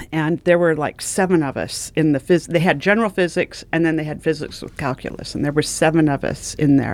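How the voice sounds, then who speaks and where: With a very deep, low voice, a woman speaks at a fairly quick pace with fairly even intonation and hardly any pauses. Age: 60s. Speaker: retired mortuary director. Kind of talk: casual chat.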